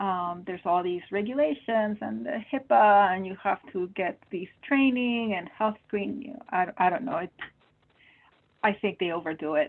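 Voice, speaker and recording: A woman with a Spanish accent speaks at a moderate pace and medium pitch, with lively intonation and big swings in loudness. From Peru. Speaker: medical oncologist. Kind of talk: webinar Q&A.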